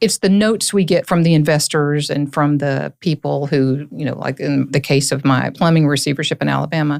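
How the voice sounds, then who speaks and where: Someone with a Southern accent talks at a fairly quick pace with hardly any pauses. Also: woman, very deep, low pitch for a woman, ordinary pitch variation. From US South, Tennessee (Hancock County). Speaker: lawyer, court-appointed receiver. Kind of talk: podcast interview.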